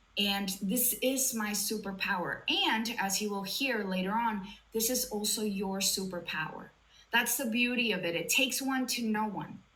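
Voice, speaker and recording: Amid noticeable background noise and audible room echo, a woman speaks in an animated tone at a moderate pace, her fairly high pitch showing ordinary variation. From Latin America. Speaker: sobriety coach. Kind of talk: live online talk.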